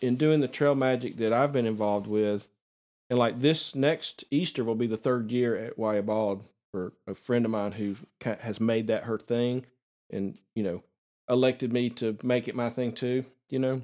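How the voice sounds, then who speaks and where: With a Southern US accent, a man talks at a moderate pace and medium pitch, his intonation fairly even. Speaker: podcast host and photographer. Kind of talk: interview podcast conversation. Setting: recording in a vacant house with improvised soundproofing.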